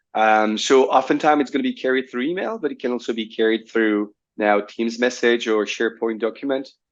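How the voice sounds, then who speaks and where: A man speaking at a fairly quick pace over a quiet background. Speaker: cybersecurity company director. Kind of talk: business interview conversation.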